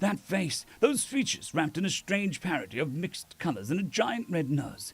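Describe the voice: Someone reads aloud plainly. Their intonation is lively.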